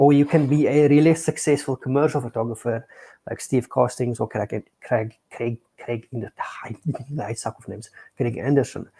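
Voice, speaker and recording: This man has a dark, mellow, somewhat breathy voice at a medium pitch, with fairly even intonation. His loudness swings widely, and he leaves long, frequent pauses. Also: moderate pace, dry, close sound with no echo. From South Africa. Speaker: photography teacher. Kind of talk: casual chat. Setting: live stream.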